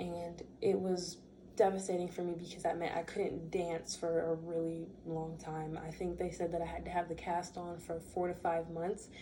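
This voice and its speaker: A woman's fairly low pitch in monotone, flat intonation, with audible room echo. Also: moderate pace. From US, raised in a Bermudian household. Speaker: student. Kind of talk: class speech. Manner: casual.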